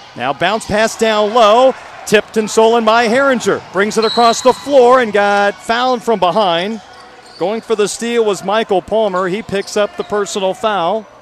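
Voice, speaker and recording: Over noticeable background noise, a man talks at a moderate pace and a high pitch with ordinary pitch variation. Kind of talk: live sports commentary. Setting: gym broadcast, radio. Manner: rattles off stats and details in a steady rhythm.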